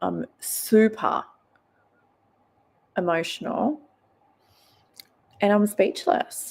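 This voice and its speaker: Very slowly and with long, frequent pauses, a woman speaks at a fairly high pitch with very wide pitch swings. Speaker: true crime livestreamer. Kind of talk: live stream commentary. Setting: late-night live stream.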